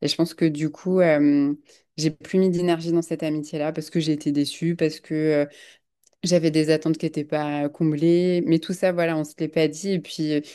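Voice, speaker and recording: A woman speaks at a moderate pace in a very deep, low voice with a dark, mellow tone. Her intonation is monotone and flat, over a quiet background. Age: 30s. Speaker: podcast guest. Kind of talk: casual chat. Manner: halting.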